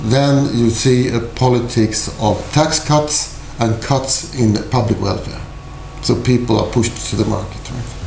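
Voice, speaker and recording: There is noticeable background noise and audible room echo as a man with a Swedish accent talks at a fairly slow pace, medium pitch and fairly even intonation. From Sweden. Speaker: university lecturer. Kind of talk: lecture.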